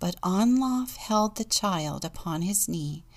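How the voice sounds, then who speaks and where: With a warm, gentle tone and lively intonation, a woman speaks in a somewhat breathy voice. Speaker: deacon and storyteller. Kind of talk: audiobook-style reading aloud of a saga, with a short devotional intro and closing prayer. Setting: church podcast, studio recording. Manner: measured, storyteller's cadence, warm and gentle.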